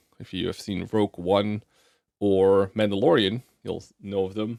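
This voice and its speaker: A man with a non-native accent speaks at a fairly low pitch, recorded dry and close with no echo. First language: not English. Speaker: gaming content creator. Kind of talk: casual vlog update. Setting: home desk with webcam. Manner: casual, many filler words.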